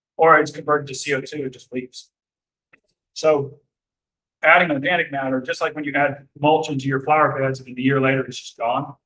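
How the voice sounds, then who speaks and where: His fairly high, bright and sharp voice stays monotone and flat while the loudness swings widely, and the man speaks at a fairly quick pace. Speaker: arborist speaker. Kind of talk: lecture. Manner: fast.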